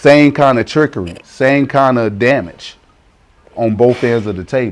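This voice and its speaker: A man with an American accent speaks at a fairly slow pace with ordinary pitch variation. Music plays in the background. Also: medium pitch for a man. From US South, South Carolina. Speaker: interviewee, expat parent. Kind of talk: interview. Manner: repetitive, stammering restarts.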